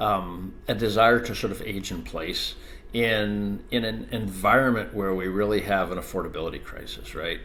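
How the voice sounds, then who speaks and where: A man with a fairly low pitch and vocal fry speaks at a moderate pace with fairly even intonation. His tone is bright and sharp, and the room echo is audible. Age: 60s. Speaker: ADU industry expert. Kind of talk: podcast interview.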